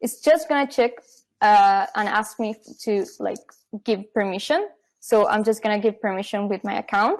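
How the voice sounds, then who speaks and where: Taking long, frequent pauses, a woman speaks at a moderate pace with a fairly high pitch and ordinary pitch variation. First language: not English. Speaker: software company marketing staff. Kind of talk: live product demo.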